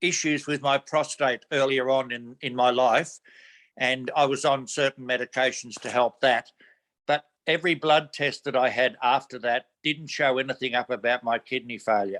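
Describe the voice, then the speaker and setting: Bright and sharp in tone, a man speaks at a fairly high pitch and a moderate pace. The sound is dry and close, with no echo. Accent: Australian. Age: 70s. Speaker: community volunteer. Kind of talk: interview answer.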